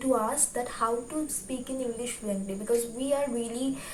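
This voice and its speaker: A woman's high voice with a Bengali accent and fairly even intonation, amid audible room echo and noticeable background noise. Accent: Bengali-accented Indian English. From India, West Bengal. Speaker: YouTuber, book reviewer. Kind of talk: tutorial. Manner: hesitant, many fillers.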